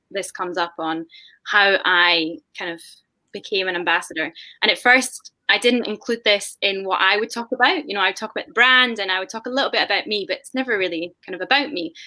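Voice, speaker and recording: A woman with a Scottish accent speaks in a bright, sharp tone at medium pitch, with ordinary pitch variation. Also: fairly quick pace. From Scotland. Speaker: whisky brand ambassador. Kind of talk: panel discussion on video call.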